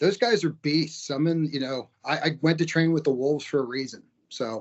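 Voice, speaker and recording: A man with an unremarkable speaking voice, fairly high pitched, with ordinary pitch variation at a moderate pace. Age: 50s. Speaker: martial arts fighter and school owner. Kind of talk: interview.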